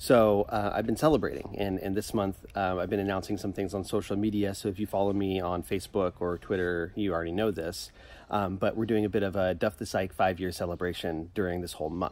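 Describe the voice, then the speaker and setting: With a normal speaking voice, a man speaks at a fairly low pitch in a fairly even intonation, hardly pausing, and the sound is dry with no echo. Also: fairly quick pace. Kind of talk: casual vlog chat. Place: garden.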